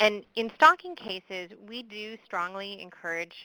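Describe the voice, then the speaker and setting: A woman speaks with a Midwestern accent in a bright, sharp tone. The sound is dry and close, with no echo. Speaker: victim services expert presenter. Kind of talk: webinar presentation with Q&A. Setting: online webinar.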